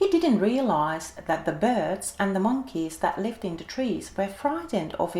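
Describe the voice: This is plain reading aloud, delivered with lively intonation.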